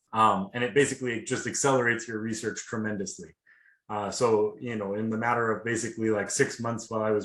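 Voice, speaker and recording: A man talks at a very fast pace with fairly even intonation and a slight Seattle accent. The background is quiet. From US Pacific Northwest, Seattle. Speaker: PhD student. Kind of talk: webinar testimony. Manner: casual, many fillers.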